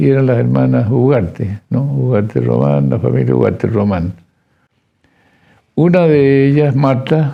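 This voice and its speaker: A man speaks at medium pitch with very wide pitch swings but very even loudness. His pace is fairly slow, with long, frequent pauses. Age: 80s+. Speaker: forensic dentist, professor emeritus. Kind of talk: interview testimony. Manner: halting.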